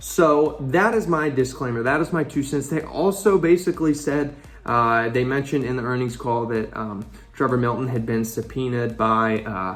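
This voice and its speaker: Lively intonation from a man at a medium pitch and moderate pace, noticeable background noise behind him. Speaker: finance YouTuber. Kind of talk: casual vlog commentary. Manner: halting, stumbling over words; animated.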